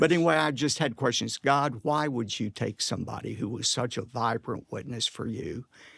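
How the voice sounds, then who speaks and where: Hardly pausing, a man speaks with vocal fry at a moderate pace and ordinary pitch variation, in a very clean recording with a silent background. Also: medium pitch for a man, dry, close sound with no echo. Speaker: pastor and preacher. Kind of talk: personal anecdote in a conversational interview. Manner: emotional, reflective storytelling.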